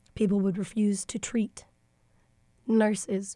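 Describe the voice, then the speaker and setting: A woman's somewhat breathy voice in an American accent, fairly slow and monotone, with flat intonation. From Texas. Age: 20s. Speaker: university diversity staff member. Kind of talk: educational interview discussion.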